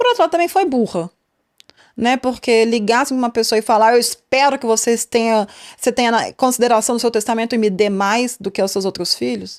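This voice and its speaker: A woman's high-pitched, animated voice at a fairly quick pace with ordinary pitch variation, dry and close with no echo. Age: 30s. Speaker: podcast host. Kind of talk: casual podcast commentary. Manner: chatty, animated.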